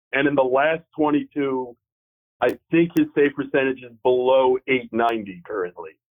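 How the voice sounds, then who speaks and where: Speaking at a moderate pace, a medium-pitched man shows ordinary pitch variation and big swings in loudness. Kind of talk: casual chat. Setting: phone call.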